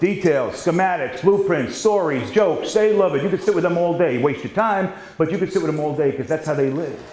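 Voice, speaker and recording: High-pitched and with a New York accent, a man speaks fairly quickly with hardly any pauses and ordinary pitch variation. Noticeable background noise and audible room echo surround him. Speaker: sales trainer. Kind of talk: seminar training. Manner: fast.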